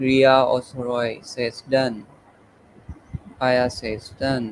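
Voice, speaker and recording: A man at medium pitch, with monotone, flat intonation and a very slow pace. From Pakistan. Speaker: webinar organizer and moderator. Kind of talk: webinar closing remarks. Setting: live online webinar.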